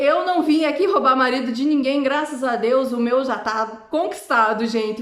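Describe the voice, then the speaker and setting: In an animated tone and with an ordinary range of pitch variation, a high-pitched woman speaks with a Brazilian accent amid audible room echo. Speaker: vlogger. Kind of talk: casual vlog monologue.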